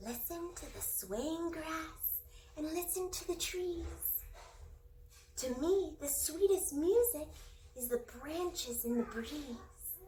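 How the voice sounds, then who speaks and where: In a put-on character voice, a woman talks at a fairly slow pace in a gentle tone, her extremely high pitch making very wide swings over clear background noise. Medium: read story. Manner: gentle, encouraging.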